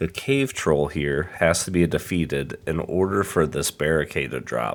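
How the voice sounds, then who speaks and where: A man speaks with a very deep, low pitch and vocal fry. His intonation is lively. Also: moderate pace. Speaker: gamer. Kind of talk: game tutorial narration.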